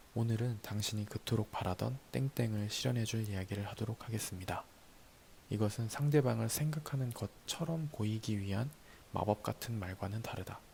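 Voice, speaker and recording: A man speaks at a moderate pace in a fairly low pitch, his dark, mellow tone calm and somewhat breathy, with ordinary pitch variation. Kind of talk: ASMR talk reading and explaining notes from a book. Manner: calm, soft-spoken.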